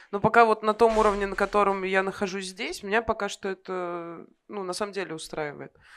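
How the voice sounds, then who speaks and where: On a very clean recording with a silent background, a woman at medium pitch uses a normal speaking voice, talking at a fairly quick pace with fairly even intonation and big swings in loudness. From Kovrov, Russia. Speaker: aspiring singer, audience member. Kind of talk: interview on stage. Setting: bar stage with live audience.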